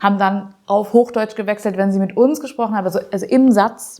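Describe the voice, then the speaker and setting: A woman with a medium pitch uses an ordinary speaking voice and fairly even intonation. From northern Germany, Harburg district (Langrehm). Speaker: deputy chair of an amateur theatre group. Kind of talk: casual interview chat.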